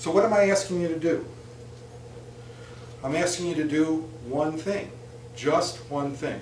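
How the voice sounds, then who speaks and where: Amid noticeable background noise and audible room echo, a man with a fairly high pitch and ordinary pitch variation talks at a fairly slow pace, leaving long, frequent pauses. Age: 60s. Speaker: speaker giving a persuasive talk. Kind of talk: persuasive speech.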